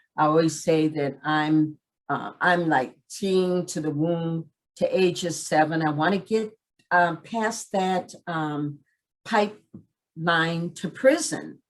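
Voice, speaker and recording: A woman at a very slow pace, fairly low in pitch, with ordinary pitch variation. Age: 60s. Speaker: community program director. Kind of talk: presentation. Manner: direct.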